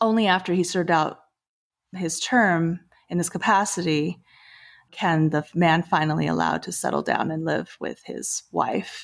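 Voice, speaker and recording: In a very clean recording with a silent background, a woman with vocal fry speaks at a moderate pace and ordinary pitch variation. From Taiwan. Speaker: film producer. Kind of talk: casual interview discussion.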